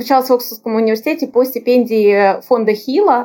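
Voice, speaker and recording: The woman's voice sits at a high pitch yet has a dark, mellow tone. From Russia, Moscow region. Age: 30s. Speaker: lawyer, international development specialist. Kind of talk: casual interview.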